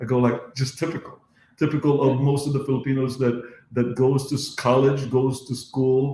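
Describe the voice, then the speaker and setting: A man with a somewhat breathy, dark, mellow voice of medium pitch speaks at a moderate pace in monotone, flat intonation. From Philippines, moved to US at nine. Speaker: dentist and podcast host. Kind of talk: casual chat. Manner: halting, repetitive fillers.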